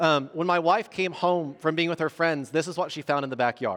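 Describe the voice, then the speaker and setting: This man speaks with a Southern Indiana accent. His voice is fairly high in pitch. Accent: Southern Indiana accent, noticeable. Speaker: pastor. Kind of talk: sermon. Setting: church. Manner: halting, many repetitions and fillers.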